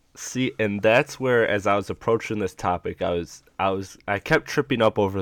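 A man with a normal speaking voice talks at a moderate pace and fairly low pitch, with ordinary pitch variation, on a very clean recording with a silent background. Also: dry, close sound with no echo. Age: 20s. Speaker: podcast host. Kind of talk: casual chat.

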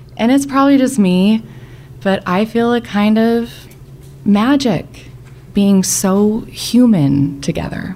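Amid noticeable background noise, a woman speaks at a very slow pace and a fairly high pitch with lively intonation, very even loudness and long, frequent pauses. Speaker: storyteller. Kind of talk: storytelling.

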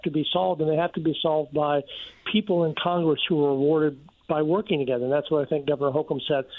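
A man with an American accent has an unremarkable speaking voice, fairly high in pitch, with ordinary pitch variation and a fairly quick pace. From Virginia. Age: 60s. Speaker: economics professor. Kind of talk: radio interview.

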